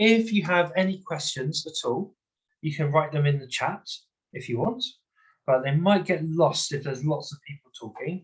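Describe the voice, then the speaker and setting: This man's voice is somewhat breathy. He speaks with lively intonation. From London, England. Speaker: English teacher. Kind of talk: online webinar lecture. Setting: video call.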